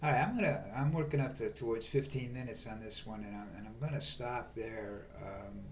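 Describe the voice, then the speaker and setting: A man with a medium pitch and ordinary pitch variation talks at a fairly quick pace with hardly any pauses and big swings in loudness, with audible room echo and noticeable background noise. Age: 70s. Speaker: video blogger. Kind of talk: political monologue. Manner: halting.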